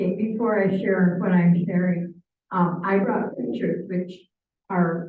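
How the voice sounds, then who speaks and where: Audible room echo around a woman speaking at a moderate speed. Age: 80s+. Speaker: church mission trip member. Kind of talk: presentation to church forum. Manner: halting.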